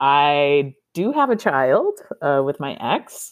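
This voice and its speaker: A woman speaks with an American accent. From Texas. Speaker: hairstylist and artist. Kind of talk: casual interview. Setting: remote call.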